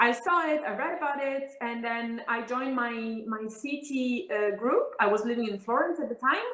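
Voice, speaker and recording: A woman talks in a high pitch with ordinary pitch variation and hardly any pauses, amid noticeable background noise and audible room echo. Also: moderate pace. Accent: Italian. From Italy. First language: Italian. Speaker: politician. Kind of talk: interview.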